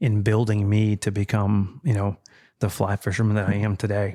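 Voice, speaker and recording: Here a man speaks at a moderate pace with a dark, mellow tone. The recording is very clean with a silent background. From deep south Texas and Mexico. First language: Spanish. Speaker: fly fisherman, former border patrol officer. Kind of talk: casual interview chat.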